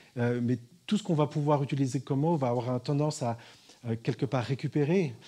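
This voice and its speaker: In a very clean recording with a silent background, a man with a fairly high pitch and a dark, mellow, somewhat breathy tone speaks at a fairly quick pace, with very even loudness and ordinary pitch variation. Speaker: spiritual teacher. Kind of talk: talk to an audience. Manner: fast.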